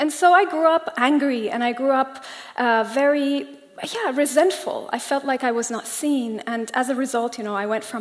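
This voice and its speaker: Over noticeable background noise, a woman with a Persian accent speaks at a moderate pace and a high pitch with ordinary pitch variation. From Germany, Iranian family. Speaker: coach. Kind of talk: public talk. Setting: stage with audience.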